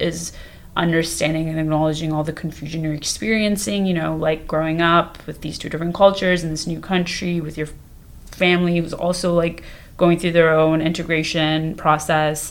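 A woman with a fairly low pitch and fairly even intonation talks in an ordinary speaking voice. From Canada, North York (Toronto). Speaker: podcast co-host. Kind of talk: casual chat.

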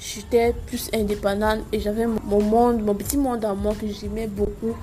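Amid noticeable background noise, a woman speaks at a fairly slow pace and fairly high pitch with monotone, flat intonation. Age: 20s. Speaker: podcaster. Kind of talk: casual monologue.

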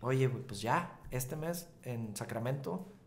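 Speaking very slowly, a man uses a medium pitch. Audible room echo and noticeable background noise fill the recording. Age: 40s. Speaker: musician and author. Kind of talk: casual chat.

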